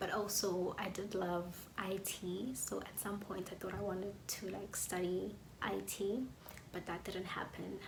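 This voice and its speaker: A woman at medium pitch, fairly slow and fairly even in intonation, with audible room echo and noticeable background noise. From South Africa, KwaZulu-Natal township. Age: 20s. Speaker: YouTuber, music student. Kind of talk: casual vlog talk to camera.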